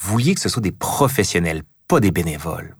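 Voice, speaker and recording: A man with a fairly low, somewhat breathy voice speaks at a moderate pace with very wide pitch swings, on a very clean recording with a silent background. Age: 40s. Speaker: historian, podcast host. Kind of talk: interview.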